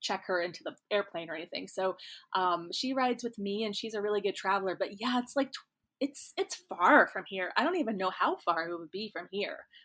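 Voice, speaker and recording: At a fairly quick pace, a woman with a slight Midwestern accent speaks in a bright, sharp tone with ordinary pitch variation. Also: medium pitch for a woman. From US Midwest, rural Kansas. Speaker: romance author. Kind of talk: casual interview chat. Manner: chatty, many fillers.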